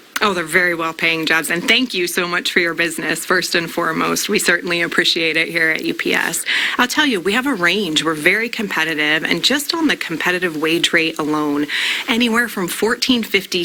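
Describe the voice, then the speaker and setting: Noticeable background noise sits behind a woman speaking. Her pitch is fairly low, her pace fairly quick, with ordinary pitch variation. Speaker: company representative giving hiring information. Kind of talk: interview answer on a morning show.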